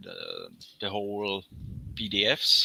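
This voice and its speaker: Talking at a very slow pace, a man with a non-native accent has a fairly low pitch and a bright, sharp tone. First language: not English. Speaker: graphic designer. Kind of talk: casual chat. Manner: halting.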